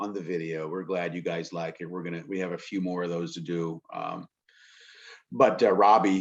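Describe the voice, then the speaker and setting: This man talks at a moderate pace in an American accent, his pitch very deep and low. His intonation stays fairly even. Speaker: alumni video host. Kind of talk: casual interview chat.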